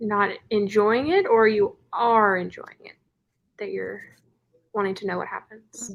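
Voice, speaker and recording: A woman with an American accent at a fairly slow pace, with long, frequent pauses and big swings in loudness. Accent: Californian accent noticed by locals. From California. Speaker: book youtuber hosting reading sprints. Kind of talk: casual chat. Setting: live video stream.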